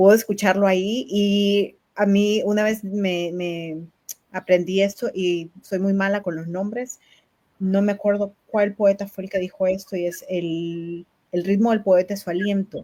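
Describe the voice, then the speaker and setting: Her voice sits at medium pitch with a dark, mellow tone. The woman speaks at a fairly slow pace with fairly even intonation. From Nicaragua. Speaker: poetry book presenter and interviewer. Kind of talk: live-streamed book launch interview.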